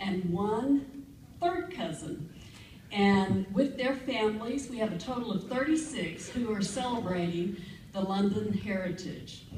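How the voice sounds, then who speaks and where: A woman speaks at a fairly slow pace with lively intonation, audible room echo and light background noise. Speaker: award acceptance speaker. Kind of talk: acceptance speech. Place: hall.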